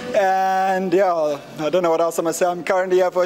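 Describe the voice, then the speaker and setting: Over music in the background, a man with a South African accent speaks at a fairly quick pace in a high voice. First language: Afrikaans. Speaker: chess player. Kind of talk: casual greeting.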